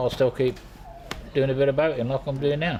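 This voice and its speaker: Through noticeable background noise, a man talks at medium pitch and a fairly quick pace. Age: 70s. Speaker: retired canal boatman. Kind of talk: casual chat.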